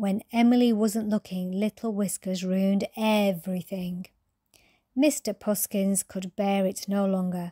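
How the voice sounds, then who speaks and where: In a very clean recording with a silent background and a dry, close sound with no echo, a woman speaks at a very slow pace in a calm, soothing, dark and mellow tone. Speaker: storyteller. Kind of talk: reading aloud.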